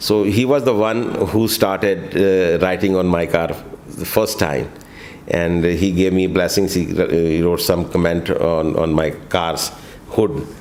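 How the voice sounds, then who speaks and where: A voice speaks at a fairly slow pace with ordinary pitch variation, set against noticeable background noise and audible room echo. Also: man, very deep, low pitch for a man. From India (Kanpur, then Delhi). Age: 60s. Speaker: travel vlogger. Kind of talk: interview. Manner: halting with many fillers.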